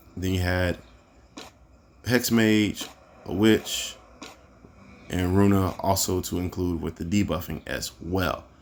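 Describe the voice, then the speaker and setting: A man speaks at a very slow pace, with long, frequent pauses. His pitch is very deep and low. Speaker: mobile gaming youtuber. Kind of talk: gameplay tutorial commentary. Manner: casual, filler-heavy with frequent 'um' and 'right'.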